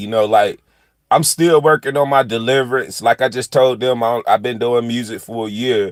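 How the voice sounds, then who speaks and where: A man speaks at a moderate pace with a Southern US accent, his medium-pitched voice fairly even in intonation, recorded dry and close with no echo on a very clean track with a silent background. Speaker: country rapper. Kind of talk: casual livestream chat. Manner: casual, laid-back.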